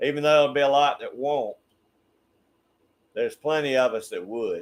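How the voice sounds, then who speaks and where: The pace here is moderate. It's a man speaking in a Southern US accent. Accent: Southern US (Georgia). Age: 60s. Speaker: YouTube channel host. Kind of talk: casual chat. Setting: livestream.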